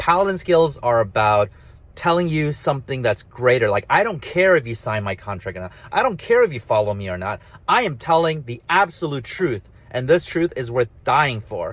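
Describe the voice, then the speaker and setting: Somewhat breathy, a man talks at a moderate pace with very wide pitch swings. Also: fairly high pitch for a man. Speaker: author and gamification speaker. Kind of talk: casual monologue. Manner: mumbly; halting, many restarts.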